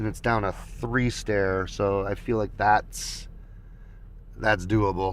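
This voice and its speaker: A man's fairly low voice at a fairly slow pace. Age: 50s. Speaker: skateboarding vlogger. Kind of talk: casual livestream talk. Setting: livestream with camera mic. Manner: casual, halting with fillers.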